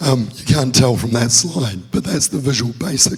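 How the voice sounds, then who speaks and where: Noticeable background noise behind a man speaking with ordinary pitch variation. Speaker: security researcher presenting at conference. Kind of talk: conference talk. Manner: halting, filler-heavy.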